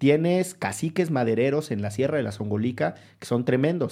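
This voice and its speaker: The voice has a dark, mellow tone and lively intonation. The recording is very clean, with a silent background. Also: man. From Orizaba, Veracruz. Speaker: podcast host, lawyer. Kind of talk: casual conversation.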